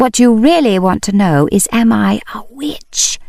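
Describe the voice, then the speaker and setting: A put-on character voice, female-sounding and fairly high for a woman, at a moderate pace. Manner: sinister and theatrical, voice dropped low.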